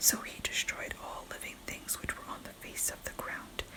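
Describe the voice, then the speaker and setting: A fairly slow whisper comes through against noticeable background noise. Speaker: ASMR Bible reader. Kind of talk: Bible reading. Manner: whispered.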